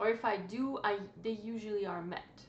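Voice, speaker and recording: A woman's fairly high voice at a fairly slow pace, with noticeable background noise and audible room echo. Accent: non-native. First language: not English. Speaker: book vlogger. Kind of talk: casual chat. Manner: halting.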